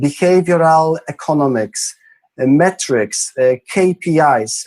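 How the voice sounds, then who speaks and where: A man with a Polish accent speaks at a fairly high pitch with lively intonation, in a dry, close sound with no echo. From Poland, Krakow. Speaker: entrepreneur. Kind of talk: interview. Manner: halting.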